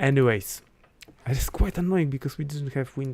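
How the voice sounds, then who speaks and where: A man with a non-native accent and a medium pitch. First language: not English. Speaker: astrologer. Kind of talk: live stream talk. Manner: hesitant, many fillers. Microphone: considering switching to better mic.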